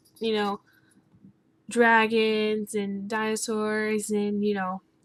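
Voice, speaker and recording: The woman is soft-spoken, with a fairly high pitch. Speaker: gaming YouTuber. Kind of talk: casual talk to camera.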